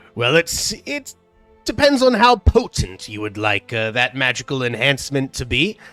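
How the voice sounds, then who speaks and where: A man's put-on character voice at medium pitch and a moderate pace, with faint music in the background. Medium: actual play. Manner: practical, businesslike.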